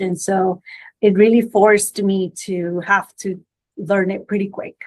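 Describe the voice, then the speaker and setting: Her intonation fairly even, a woman with a medium-pitched voice speaks with a Spanish accent. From Guatemala. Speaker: immigration lawyer. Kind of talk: podcast interview. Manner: hesitant, many fillers and restarts.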